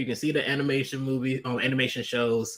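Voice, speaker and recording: A man's voice sits at a medium pitch. He talks at a fairly quick pace. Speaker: livestreamer. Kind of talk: casual livestream chat. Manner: fast; hesitant, many fillers.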